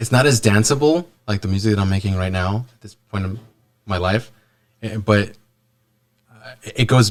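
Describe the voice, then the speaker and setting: A fairly low-pitched man's voice with a Spanish accent, moderate pace and fairly even intonation. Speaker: musician. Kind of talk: casual interview chat. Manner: halting, many repeats.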